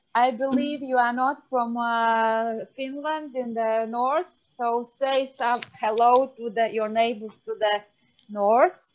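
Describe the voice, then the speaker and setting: A woman speaks with a Latvian accent at a high pitch. Her pace is very slow and her intonation fairly even. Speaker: phenologist, university researcher. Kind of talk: guided office yoga break in webinar.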